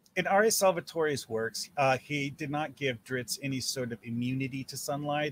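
A man with a normal speaking voice talks at a moderate pace and fairly high pitch, with ordinary pitch variation and hardly any pauses. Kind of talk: casual chat. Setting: video call.

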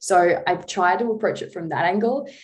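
A woman with an Australian accent, fairly quick and with ordinary pitch variation. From Tasmania, Australia. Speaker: dietitian. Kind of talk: casual chat.

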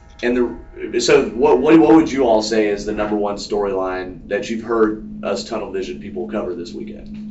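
A man at a moderate pace with hardly any pauses, over noticeable background noise. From Atlanta, Georgia (DeKalb County). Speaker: traffic reporter and racing radio broadcaster. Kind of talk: casual interview. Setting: at the race track media center.

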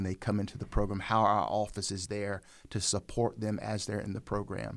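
A man with a Southern US accent and a fairly low pitch, at a moderate pace, on a very clean recording with a silent background. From Raleigh, North Carolina. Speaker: pastor and seminary program coordinator. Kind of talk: casual interview.

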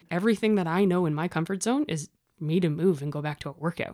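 A woman with a Canadian accent, medium in pitch and dark, mellow in tone, at a fairly quick pace. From Ontario, Canada. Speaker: firefighter and fitness competitor. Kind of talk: interview.

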